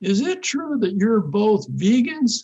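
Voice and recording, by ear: In a put-on character voice with a Southern accent, the speaker goes at a fairly slow pace with very wide pitch swings. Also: man.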